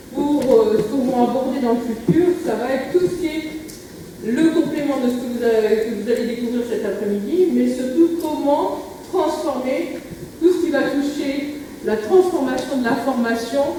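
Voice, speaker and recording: A woman's high voice at a fairly slow pace, with audible room echo and noticeable background noise. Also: ordinary pitch variation. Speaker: association president opening a convention. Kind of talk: conference opening speech. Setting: conference room with audience, no microphone. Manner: hesitant, many fillers. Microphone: speaking without microphone.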